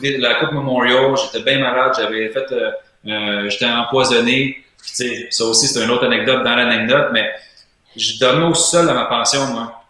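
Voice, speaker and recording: In a Quebec accent, a man talks at a moderate pace with a medium pitch and fairly even intonation. The room echo is audible. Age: 30s. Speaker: player agent, former hockey goalie. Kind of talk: interview.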